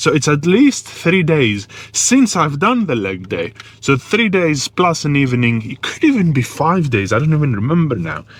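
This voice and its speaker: Noticeable background noise sits behind a man with a fairly high pitch who speaks at a moderate pace with very wide pitch swings. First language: not English. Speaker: fitness vlogger. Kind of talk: casual vlog talk. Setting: in a car, then at the gym.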